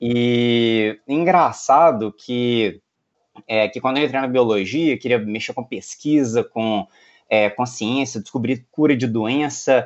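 A man speaks at a very slow pace. His pitch sits in the medium range, with ordinary variation. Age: 30s. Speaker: lawyer and tech entrepreneur. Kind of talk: interview. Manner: hesitant, many fillers.

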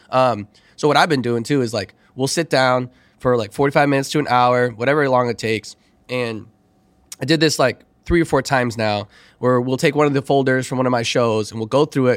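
An unremarkable speaking voice with an American accent, a fairly quick pace and fairly even intonation, dry and close with no echo. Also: man. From Chicago. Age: 30s. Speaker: DJ and former teacher. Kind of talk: casual chat.

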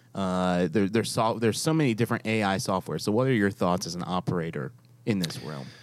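A man with an American accent and an unremarkable speaking voice talks at a fairly quick pace and a fairly low pitch, in a very clean recording with a silent background. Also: lively intonation. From New York. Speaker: podcast host. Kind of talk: casual chat. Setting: studio.

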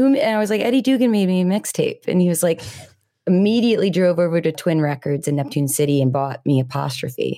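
A woman speaks with a fairly low pitch and lively intonation. It is a normal speaking voice. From New Jersey. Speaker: singer-songwriter. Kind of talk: casual chat. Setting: video call.

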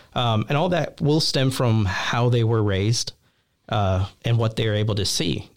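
This man has a normal speaking voice and keeps his loudness very even. He talks at a fairly slow pace with ordinary pitch variation. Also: medium pitch for a man. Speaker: youth ministry associate director. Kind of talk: casual interview chat.

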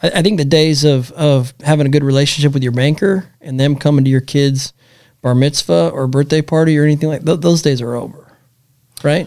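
Talking at a fairly quick pace, a man uses a normal speaking voice with a fairly high pitch and ordinary pitch variation. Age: 30s. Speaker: podcast host. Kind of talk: casual conversational podcast chat.

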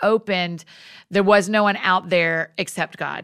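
A woman at a medium pitch with a Southern US accent, fairly even intonation and a moderate pace, in a very clean recording with a silent background. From US South, Georgia. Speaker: author and speaker. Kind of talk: casual chat.

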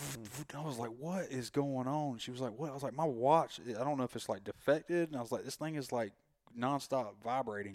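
With a strong Southern US accent, a man speaks at a fairly quick pace in a medium pitch with ordinary pitch variation, in a very clean recording over a silent background. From North Carolina. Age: 30s. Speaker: graphic artist. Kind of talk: casual chat.

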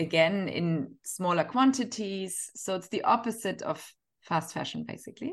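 Against a quiet background, a woman with a German accent speaks at a medium pitch and a moderate pace, her intonation lively. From Northern Germany. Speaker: fashion entrepreneur and author. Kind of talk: interview.

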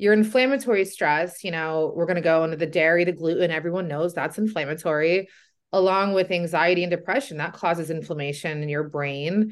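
A woman's fairly low, fairly quick voice with ordinary pitch variation, an unremarkable speaking voice, and a quiet background. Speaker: podcast host and weight loss coach. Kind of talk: interview, casual chat.

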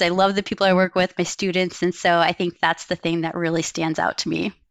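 A woman speaks at a very fast pace in a medium pitch. The sound is dry and close, with no echo. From Wyoming. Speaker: environmental engineering professor. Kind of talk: interview.

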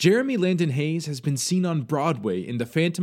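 A man's ordinary speaking voice, fairly quick and with lively intonation, on a very clean recording with a silent background. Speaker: theater company podcast co-host. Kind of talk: scripted intro and announcements.

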